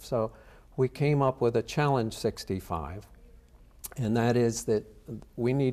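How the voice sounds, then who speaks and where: A man's medium-pitched voice, dark and mellow in tone, with fairly even intonation and a fairly slow pace. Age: 60s. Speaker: charity cyclist. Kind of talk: interview answer.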